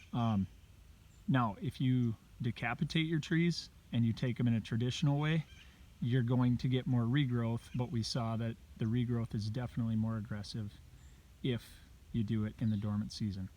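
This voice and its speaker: A man speaks quietly in a medium-pitched voice with a dark, mellow tone, moving at a moderate pace with ordinary pitch variation and long, frequent pauses. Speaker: habitat consultant. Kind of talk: outdoor video tutorial. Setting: outdoors. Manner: casual.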